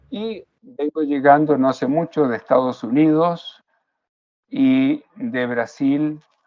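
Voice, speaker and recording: A man speaks at a very slow pace in a fairly high pitch. His pitch varies in an ordinary way. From Chile. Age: 70s. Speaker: yoga teacher. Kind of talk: interview.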